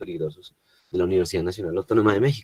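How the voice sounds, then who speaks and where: Dark and mellow in tone, a man's somewhat breathy voice comes through dry and close with no echo. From Colombia. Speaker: environmental engineer, lecturer. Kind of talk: webinar lecture. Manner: hesitant, many fillers.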